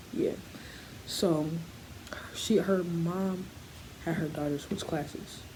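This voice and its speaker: A quiet woman with a fairly low pitch and fairly even intonation takes long, frequent pauses, with noticeable background noise and audible room echo around her. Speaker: vlogger. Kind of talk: story time. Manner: quiet, low; halting.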